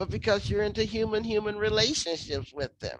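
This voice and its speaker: A woman speaks with vocal fry. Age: 60s. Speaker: activist and scholar. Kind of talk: interview conversation. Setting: virtual lecture.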